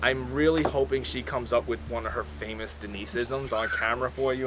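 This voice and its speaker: A man with a New York accent talks at a very fast pace. His medium pitch swings very widely over noticeable background noise. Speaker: whiskey reviewer. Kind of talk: casual review chat.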